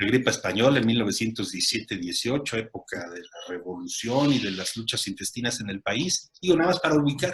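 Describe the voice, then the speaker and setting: A man speaks fairly quickly at a medium pitch. His pitch swings very widely and his loudness shifts in big swings. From Mexico. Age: 60s. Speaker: lawyer and media commentator. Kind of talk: casual chat. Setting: video call. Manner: halting.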